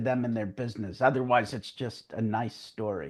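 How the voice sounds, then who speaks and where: There is a quiet background. A man speaks at a moderate pace. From US Northeast, New York. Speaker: crisis management speaker, former rescue helicopter crewman. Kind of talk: interview.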